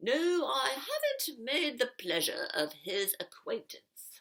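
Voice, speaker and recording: A put-on character voice, female-sounding and high in pitch, at a fairly slow pace. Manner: mockingly polite.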